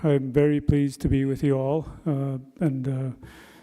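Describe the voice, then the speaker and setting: Captured on a very clean recording with a silent background, a man's fairly high voice has a dark, mellow tone. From northern Alberta Métis settlement. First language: Cree. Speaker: retired forest ranger and wildland firefighter. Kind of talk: personal talk at a gathering. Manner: halting, many fillers.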